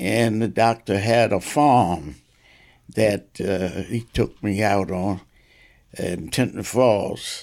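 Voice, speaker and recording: A man speaks at a very slow pace with a fairly low pitch. Vocal fry runs through his voice. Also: ordinary pitch variation. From New Jersey, Asbury Park. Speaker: retired police officer and pastor. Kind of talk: interview storytelling. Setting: in his home. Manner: halting.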